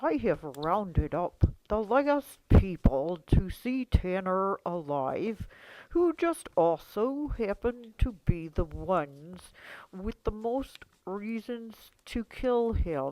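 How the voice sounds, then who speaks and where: A female-sounding put-on character voice drags along at a very slow pace. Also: medium pitch for a woman. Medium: stage play. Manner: mild, kindly.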